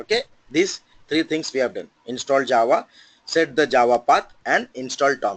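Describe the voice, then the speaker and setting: A man's voice sits fairly high, with lively intonation. The sound is dry and close, with no echo. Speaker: software trainer. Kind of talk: tutorial. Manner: fast.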